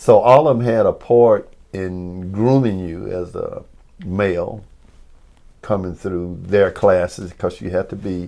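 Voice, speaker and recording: A man with a Mississippi accent, fairly low in pitch and dark, mellow in tone, at a fairly slow pace with big swings in loudness and ordinary pitch variation. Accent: Southern US, Mississippi. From New Albany, Mississippi. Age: 70s. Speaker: former basketball player. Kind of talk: oral history interview answer.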